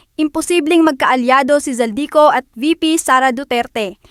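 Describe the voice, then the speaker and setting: The woman's voice sits high in pitch with ordinary variation, recorded with a dry, close sound and no echo. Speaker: YouTube news commentator. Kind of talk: news commentary.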